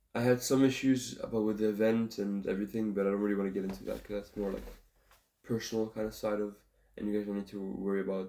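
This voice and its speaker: A man mumbles at a very fast pace. His tone is dark and mellow. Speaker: singer-songwriter vlogger. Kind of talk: casual vlog. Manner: mumbling.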